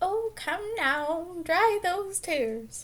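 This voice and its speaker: Squeaky and extremely high-pitched, a woman performs a put-on character voice. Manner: gentle.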